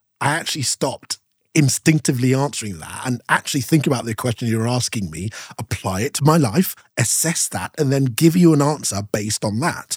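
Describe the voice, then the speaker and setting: On a very clean recording with a silent background and a dry, close sound with no echo, a man with a medium pitch talks at a fairly quick pace, somewhat breathy, with lively intonation. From Nigeria (Yoruba), moved from UK at seven. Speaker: broadcaster and speaker. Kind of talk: casual chat.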